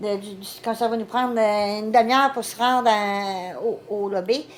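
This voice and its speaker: The speaker has a Quebec accent and ordinary pitch variation. Background noise is noticeable throughout. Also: woman. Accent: Québécois French. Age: 60s. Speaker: vlogger's mother. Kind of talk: casual chat.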